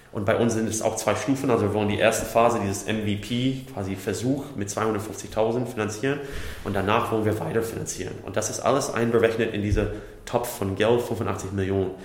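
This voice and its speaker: Over noticeable background noise and audible room echo, a man with a fairly low pitch speaks at a fairly quick pace with fairly even intonation. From USA. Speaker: startup company builder executive. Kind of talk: interview.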